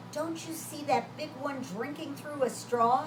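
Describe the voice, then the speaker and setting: A woman is speaking in a room with audible echo. Noticeable background noise is present too. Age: 70s. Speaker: children's storyteller. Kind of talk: reading aloud to children; casual chat to children.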